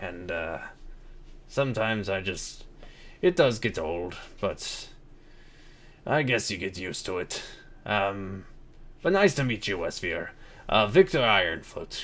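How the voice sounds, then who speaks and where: A man puts on a booming character voice at a medium pitch, with very wide pitch swings, big swings in loudness, long, frequent pauses and a fairly slow pace. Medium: actual play. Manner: friendly, hospitable.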